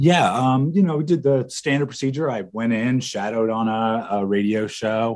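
A plain, everyday voice from a man at a medium pitch and a fairly slow pace. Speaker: former college radio DJ and program director. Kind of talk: casual interview chat.

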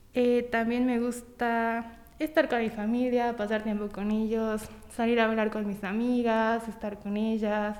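Audible room echo surrounds a woman whose fairly high voice moves at a fairly slow pace with monotone, flat intonation. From Mexico, Tampico, Tamaulipas. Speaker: small business owner, baker. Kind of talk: interview.

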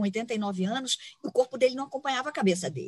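A somewhat breathy woman talks at a fairly quick pace with ordinary pitch variation. The sound is dry and close, with no echo. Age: 50s. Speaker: environmental consultant. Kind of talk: interview conversation. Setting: outdoors in a park.

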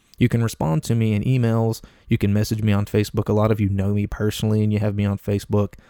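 A man with an Appalachian accent, fairly low pitch and a dark, mellow tone, speaking very fast with monotone, flat intonation and very even loudness, in a dry, close sound with no echo. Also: very clean recording, silent background. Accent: Appalachian US Southern. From US South, Appalachia. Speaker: podcast host. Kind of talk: casual solo monologue. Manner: conversational with frequent fillers and repetitions.

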